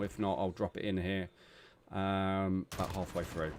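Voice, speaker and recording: A moderate pace in a British accent. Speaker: esports caster. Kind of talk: live commentary. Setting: live stream. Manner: loud.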